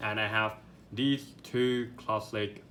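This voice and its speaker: In a room with audible echo, a man with a non-native accent speaks in a bright, sharp tone. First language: not English. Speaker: product reviewer. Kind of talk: unboxing review. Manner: halting, many fillers and repeats; enthusiastic.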